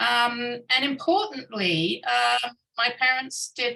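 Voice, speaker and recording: A woman speaks with a British accent. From United Kingdom. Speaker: scientist. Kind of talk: keynote talk. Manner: hesitant, many fillers.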